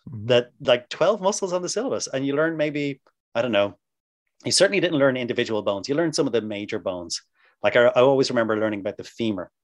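A man with an Irish accent talks at a very fast pace, with a medium pitch and very wide pitch swings. The background is quiet. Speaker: massage therapy instructor. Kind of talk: interview. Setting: video call.

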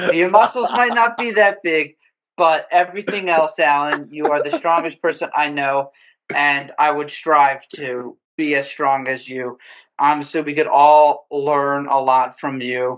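In an ordinary speaking voice, a man talks at a fairly slow pace with a fairly high pitch and ordinary pitch variation. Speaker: guest, motion design director. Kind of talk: casual interview.

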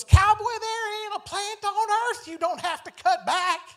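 At a moderate pace, the speaker delivers lines in a put-on character voice.

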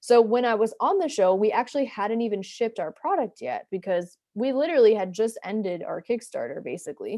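In a normal speaking voice with an American accent, the speaker talks at a fairly quick pace with lively intonation and hardly any pauses. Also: woman, fairly high pitch for a woman. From US Northeast (New Jersey). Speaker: entrepreneur and product designer. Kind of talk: interview. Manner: casual, filler-heavy.

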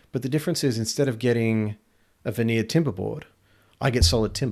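A man's medium-pitched voice with an Australian accent and ordinary pitch variation, in a very clean recording with a silent background. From rural Australia. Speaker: quality assurance manager and retired navy officer. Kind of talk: casual interview conversation.

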